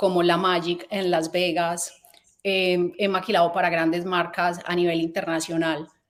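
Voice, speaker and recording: This speaker has a Colombian accent and a fairly quick pace. The intonation is monotone and flat. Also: woman, fairly low pitch for a woman. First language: Spanish. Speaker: fashion company founder. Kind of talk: conference talk. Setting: event stage. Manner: halting.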